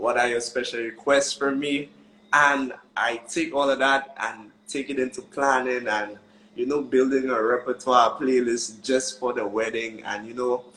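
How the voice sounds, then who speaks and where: A man speaks with a Saint Lucian accent and fairly even intonation. Noticeable background noise is present. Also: medium pitch for a man, fairly slow pace. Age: young. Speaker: wedding musician. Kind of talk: casual interview chat. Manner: joyful.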